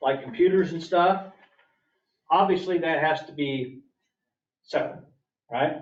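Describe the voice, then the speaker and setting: A man's fairly high voice with ordinary pitch variation, long, frequent pauses and audible room echo. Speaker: county official presenting budget. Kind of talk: public meeting budget presentation. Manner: fast.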